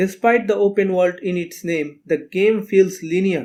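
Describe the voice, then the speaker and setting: The speaker has a non-native accent and a fairly slow pace. Intonation stays fairly even. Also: man. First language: not English. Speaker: video game critic. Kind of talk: video essay narration.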